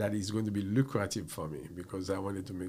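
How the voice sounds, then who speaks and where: With audible room echo, a man rattles along at a very fast pace in a somewhat breathy, fairly low voice. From Haiti. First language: French. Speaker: computer professional. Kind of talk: casual interview. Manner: halting.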